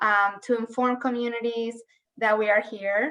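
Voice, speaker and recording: A woman speaks with a Colombian accent in a fairly high pitch. Her tone is bright and sharp, and her intonation stays monotone and flat. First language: Spanish. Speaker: human rights official. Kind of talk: legislative testimony.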